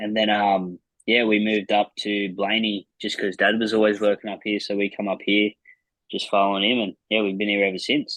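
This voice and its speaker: A man with an Australian accent, fairly quick pace, and monotone, flat intonation. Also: fairly low pitch for a man. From New South Wales, Australia (Penrith, Blayney). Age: 20s. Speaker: flat track racer and mechanic. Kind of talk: casual interview. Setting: video call on phone. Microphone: phone.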